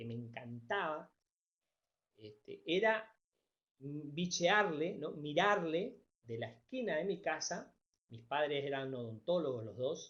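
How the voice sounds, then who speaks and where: The speaker moves at a very slow pace with very wide pitch swings. Loudness rises and falls in big swings. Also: man. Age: 60s. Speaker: teacher. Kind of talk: lecture.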